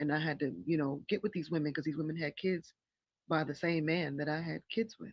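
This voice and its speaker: A woman with an American accent, her pitch very deep and low, her intonation fairly even. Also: fairly quick pace. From upstate New York. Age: 40s. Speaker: music producer and actress. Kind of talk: podcast interview. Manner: halting, many fillers.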